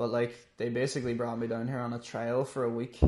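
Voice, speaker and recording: A man with a Donegal accent is speaking. His voice has a medium pitch. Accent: Donegal Irish. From Ireland, Donegal (Letterkenny). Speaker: amateur MMA fighter. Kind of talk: interview. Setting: in the gym.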